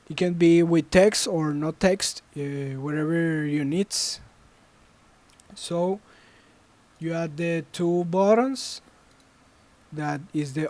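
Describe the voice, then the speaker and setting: At a very slow pace, with long, frequent pauses, someone speaks in a Spanish accent. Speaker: student game developer. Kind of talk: tutorial. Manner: halting.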